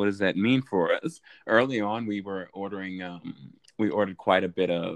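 A man's fairly low voice, a normal speaking voice, at a moderate pace. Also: ordinary pitch variation. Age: 20s. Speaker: podcast guest. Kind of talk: casual chat.

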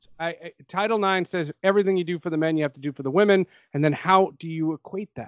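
A man with an American accent talks at a very fast pace in a high pitch. His pitch varies in an ordinary way, and the sound is dry and close with no echo. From New Jersey. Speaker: sports journalist. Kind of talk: casual chat.

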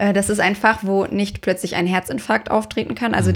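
Over a very clean recording with a silent background, a woman talks at a fairly quick pace. She has an unremarkable speaking voice with lively intonation. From Dortmund, Ruhr area, Germany. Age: 20s. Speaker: dermatologist and startup founder. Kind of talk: casual interview.

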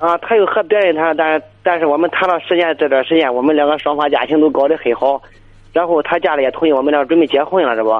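At a very fast pace and with very even loudness, a man speaks with a fairly high pitch. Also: ordinary pitch variation. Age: 30s. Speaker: caller. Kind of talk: phone-in advice call. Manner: halting.

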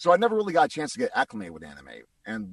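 A man with an American accent talks at a very fast pace, the sound dry and close with no echo. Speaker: voice actor. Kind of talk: interview.

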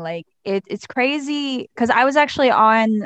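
A woman with an American accent and a normal speaking voice, at a moderate pace with ordinary pitch variation, in a dry, close sound with no echo and a quiet background. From Pittsburgh, Pennsylvania. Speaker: model and cosmetologist. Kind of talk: casual chat.

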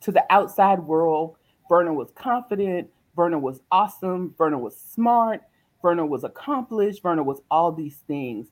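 Speaking fairly slowly in a Southern US accent, a woman with a fairly low voice swings her pitch very widely. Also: very clean recording, silent background. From US South, South Carolina. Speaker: motivational speaker. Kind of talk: interview.

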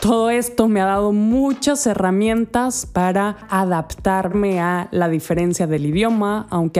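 At a fairly slow pace, a woman talks in a dark, mellow tone with ordinary pitch variation. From Spain, Andalusia. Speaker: health coach, podcast host. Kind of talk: podcast monologue. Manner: friendly.

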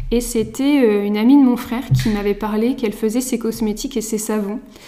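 Fairly high-pitched female speech, moderate in pace and fairly even in intonation, with noticeable background noise. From France, Mayenne. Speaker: soap maker. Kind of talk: casual chat. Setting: at the guest's home.

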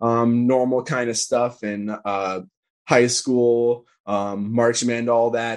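Against a quiet background, a man talks at a very slow pace and medium pitch in a monotone, flat intonation. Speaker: political organizer. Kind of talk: casual interview conversation.

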